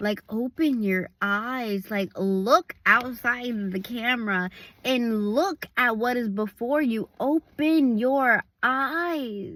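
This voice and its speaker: A woman speaks very slowly at a high pitch with ordinary variation, the sound dry and close with no echo. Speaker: evangelist. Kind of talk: casual vlog devotional. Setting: outdoors at a park. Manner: casual, filler-heavy.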